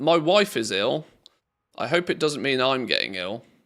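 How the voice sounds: A man's croaky put-on character voice at medium pitch, with very wide pitch swings and a moderate pace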